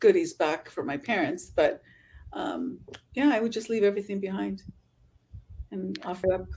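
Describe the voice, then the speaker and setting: A woman talks with a Californian accent at a moderate pace. The recording is very clean, with a silent background. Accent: Californian American English. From Southern California. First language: Spanish. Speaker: travel influencer. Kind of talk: podcast interview.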